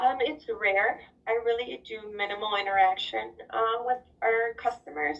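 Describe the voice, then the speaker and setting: Lively intonation from a woman with a fairly high pitch, at a fairly slow pace. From US, Mexican-American family. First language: Spanish. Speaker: interviewee, corporate employee working with Latin America sales. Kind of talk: casual interview.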